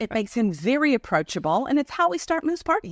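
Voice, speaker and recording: A woman speaks very fast at a high pitch, her voice swinging very widely in pitch. The sound is dry and close, with no echo. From South Africa. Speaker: missionary. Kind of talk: casual chat.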